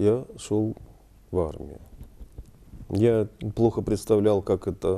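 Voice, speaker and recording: A man's fairly low voice with a dark, mellow tone, very slow pace, long and frequent pauses, and fairly even intonation. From Ukraine, Dnipro. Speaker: war veteran and photographer. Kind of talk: interview. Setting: studio. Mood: calm, reflective. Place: studio.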